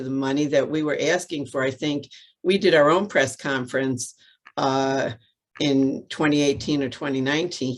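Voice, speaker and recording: Her voice is very deep and low, with a New York accent. The woman talks at a fairly slow pace with fairly even intonation. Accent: New York City. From New York City. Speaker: transit advocate. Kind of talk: press conference remarks. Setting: video call.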